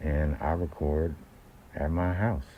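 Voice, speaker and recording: In a very deep, low pitch, a man speaks with a dark, mellow tone, somewhat breathy, his intonation fairly even. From San Francisco Bay Area (Oakland). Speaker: independent rapper. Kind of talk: casual monologue. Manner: halting, many fillers.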